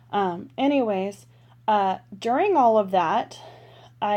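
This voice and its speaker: Very slowly, a woman with an American accent speaks in a dark, mellow tone. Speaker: planner vlogger. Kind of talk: casual chat. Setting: bedroom at home.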